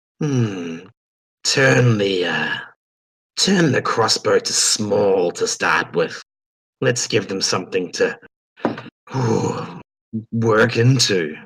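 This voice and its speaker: A put-on character voice from a man, growling and raspy at medium pitch, very slow with long, frequent pauses. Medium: actual play.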